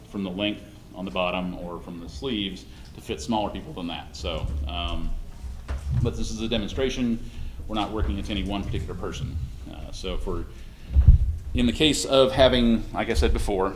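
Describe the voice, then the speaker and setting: A man speaks at a moderate pace with lively intonation and long, frequent pauses. Music plays in the background, and there is audible room echo. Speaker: costume maker demonstrating a build. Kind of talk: workshop demonstration.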